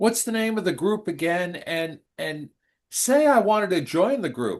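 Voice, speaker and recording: A high-pitched man with an American accent, very wide pitch swings and a fairly slow pace, over a quiet background. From New York. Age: 70s. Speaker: radio co-host. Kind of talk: radio interview. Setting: radio studio.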